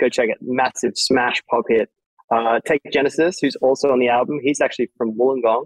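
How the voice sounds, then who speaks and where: A man with an Australian accent speaks at a fairly quick pace in a dry, close recording with no echo. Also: medium pitch for a man, fairly even intonation. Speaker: electronic music DJ and producer. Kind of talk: interview.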